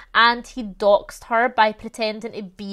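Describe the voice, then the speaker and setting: In a Glaswegian accent, a woman talks with a fairly high pitch. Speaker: YouTuber discussing true crime and controversies. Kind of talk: casual true crime commentary. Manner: conversational, animated.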